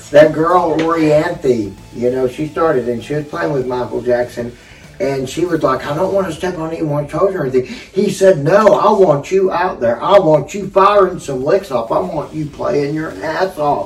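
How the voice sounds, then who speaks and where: Noticeable background noise sits behind a man with a fairly high pitch. He speaks at a moderate pace with ordinary pitch variation and hardly any pauses. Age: 50s. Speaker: guitarist. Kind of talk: casual chat.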